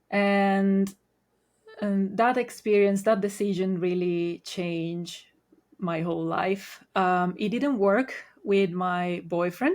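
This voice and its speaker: A woman with an Italian accent speaks at a medium pitch and a fairly slow pace, her intonation fairly even. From Italy. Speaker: Reiki master. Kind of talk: podcast interview.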